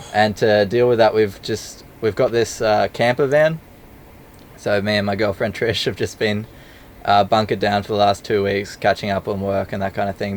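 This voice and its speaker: Monotone, flat intonation from a man with a fairly low voice, delivered at a moderate pace. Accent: Australian. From Australia. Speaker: travel filmmaker. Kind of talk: casual interview chat.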